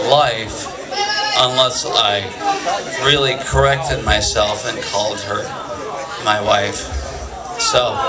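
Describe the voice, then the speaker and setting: A man speaking at a very slow pace, with long, frequent pauses, over crowd noise in the background. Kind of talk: stage banter between songs. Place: stage. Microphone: camera far.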